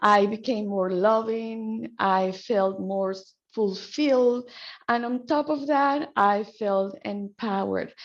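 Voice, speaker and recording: Very slow speech in a Spanish accent, with ordinary pitch variation. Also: woman, fairly high pitch for a woman. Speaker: qigong healer and trainer. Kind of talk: guided qigong practice class introduction.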